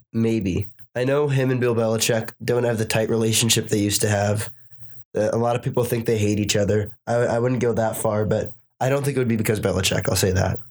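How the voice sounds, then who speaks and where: A man speaks at medium pitch with an unremarkable speaking voice and fairly even intonation. His pace is fairly quick and his loudness very even. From Boston, US. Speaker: sports commentator. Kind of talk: casual chat.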